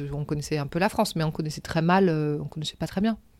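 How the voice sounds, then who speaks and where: A woman's fairly low-pitched voice at a fairly quick pace, with ordinary pitch variation. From Senegal (Gorée island, Dakar), then Paris from age 7. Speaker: artistic director of a crafts company. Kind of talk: interview, life story. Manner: hesitant, many fillers.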